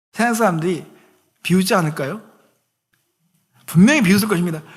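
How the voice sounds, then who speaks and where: The man speaks at a fairly quick pace. Audible room echo fills the recording. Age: 50s. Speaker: pastor. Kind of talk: sermon.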